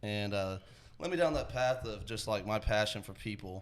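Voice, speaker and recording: A fairly quick man's voice in a Texan accent at a fairly low pitch. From Texas, Georgetown. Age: 20s. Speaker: rideshare business co-owner. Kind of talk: casual podcast interview.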